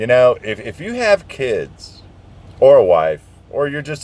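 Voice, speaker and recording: At a fairly slow pace, a man with an American accent speaks in an animated tone. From southern Indiana, US. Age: 60s. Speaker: truck driver vlogger. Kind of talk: casual rant. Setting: outdoors, parked truck.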